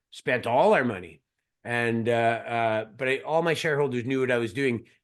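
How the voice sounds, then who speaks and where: A man with a Canadian accent, fairly quick in pace and fairly even in intonation. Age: 50s. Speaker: mining company CEO. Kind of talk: interview. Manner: halting, repeats words.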